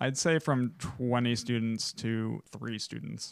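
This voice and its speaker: A man speaks at a very slow pace with a medium pitch. The recording is very clean, with a silent background. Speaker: college student podcast co-host. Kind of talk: casual chat.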